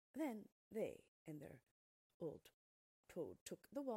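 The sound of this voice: Quiet surrounds the speaker. The reading voice is unforced.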